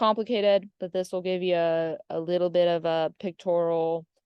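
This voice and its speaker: Fairly quick talk from a woman with a fairly low pitch. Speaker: physical therapist and professor. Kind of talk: lecture. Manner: fast.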